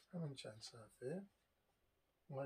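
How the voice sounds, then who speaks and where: Somewhat breathy and fairly high in pitch, a man talks at a fairly slow pace with lively intonation. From Iran. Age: 60s. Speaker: video blogger on history and travel. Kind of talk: monologue talk. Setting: home, seated on sofa.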